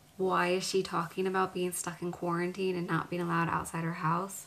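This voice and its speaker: A woman's fairly low voice, monotone and flat, at a moderate pace. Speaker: vlogger. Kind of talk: casual vlog chat. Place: home room.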